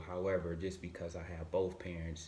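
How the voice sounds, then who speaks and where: A man with a very deep, low pitch talks at a fairly quick pace in a monotone, flat intonation. His voice is somewhat breathy, with audible room echo. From Michigan, Grand Rapids. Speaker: motivational speaker. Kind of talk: podcast interview.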